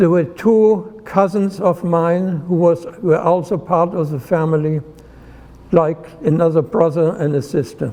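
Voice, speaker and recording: In a German accent, a man with a high pitch speaks at a fairly slow pace with ordinary pitch variation, over noticeable background noise. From Germany, Heidelberg. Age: 90s. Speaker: retired nuclear physicist. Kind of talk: personal life story talk.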